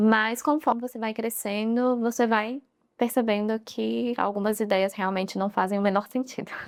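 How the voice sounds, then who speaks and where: Her fairly high voice holds a fairly even intonation at a moderate pace. The woman is recorded very cleanly against a silent background. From Guarulhos, São Paulo, Brazil. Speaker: nutritionist. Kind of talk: casual interview chat.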